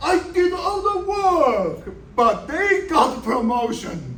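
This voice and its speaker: A man with a strong Chinese accent is heard with audible room echo and noticeable background noise. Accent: heavy Chinese. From China. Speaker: software developer. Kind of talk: speech.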